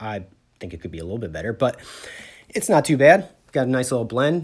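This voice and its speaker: With vocal fry, a man races along at a very fast pace, his pitch swinging very widely and his loudness rising and falling sharply. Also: medium pitch for a man. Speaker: sheet metal worker. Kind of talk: tutorial. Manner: casual.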